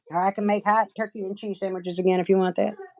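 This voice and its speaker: With an Appalachian accent, a woman speaks at a fairly quick pace. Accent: Appalachian accent, lighter than relatives'. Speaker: nail artist livestreamer. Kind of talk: casual chat. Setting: livestream.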